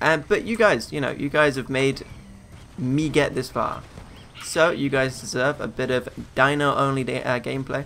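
A man with a British accent speaks at a moderate pace, his fairly high voice bright and sharp in tone. His pitch varies in an ordinary way. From UK. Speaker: gaming YouTuber. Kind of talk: let's play commentary. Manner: casual, filler-heavy.

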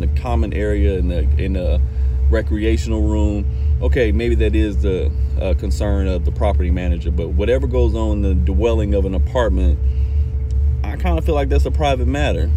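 The speech runs at a fairly quick pace with fairly even intonation and very even loudness, in a dry sound with no echo and music in the background. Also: man. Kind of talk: casual vlog chat. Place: car. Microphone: phone near.

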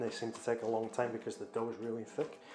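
Noticeable background noise behind a man's voice. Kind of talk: tutorial. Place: kitchen.

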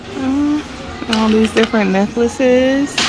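Over clear background music, a woman speaks at a very slow pace with ordinary pitch variation. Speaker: shopping vlogger. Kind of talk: casual vlog chat. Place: shop. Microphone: phone near.

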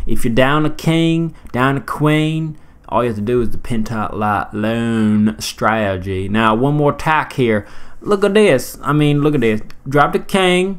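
A playful man with a Southern US accent, medium pitch, lively intonation and a fairly slow pace. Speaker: gaming commentator. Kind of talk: casual gameplay commentary. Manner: playful, rambling.

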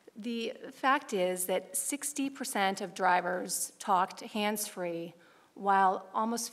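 The pace is very slow as this woman talks. Her pitch rises and falls in an ordinary way. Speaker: council presenter. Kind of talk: presentation. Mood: earnest, informative. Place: hall. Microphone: podium.

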